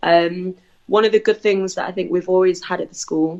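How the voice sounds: With a slightly mellow tone and fairly even intonation, a woman speaks at a moderate pace and a fairly low pitch.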